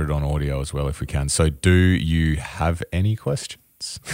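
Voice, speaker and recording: Speaking with an Australian accent, a man with a very deep, low voice keeps his intonation fairly even, and the sound is dry and close with no echo. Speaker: podcast co-host. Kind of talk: casual chat.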